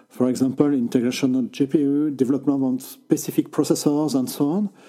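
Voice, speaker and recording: A man with a French accent, a fairly high pitch, lively intonation and a dark, mellow tone. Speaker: tech journalist. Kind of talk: interview. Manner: halting.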